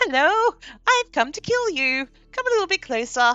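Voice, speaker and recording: A put-on character voice at an extremely high pitch, with very wide pitch swings, a moderate pace and faint music in the background. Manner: cheerful, sweetly menacing.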